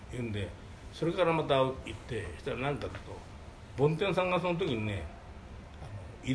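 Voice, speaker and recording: Audible room echo surrounds a man whose voice moves in very wide pitch swings. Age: 80s+. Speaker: manga artist's office manager. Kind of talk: storytelling. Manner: halting.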